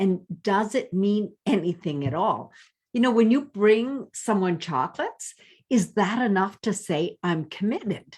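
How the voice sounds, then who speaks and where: A woman speaks fairly slowly at a medium pitch with lively intonation. The recording is very clean, with a silent background. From French Canada. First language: French. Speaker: life coach. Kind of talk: vlog monologue. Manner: animated.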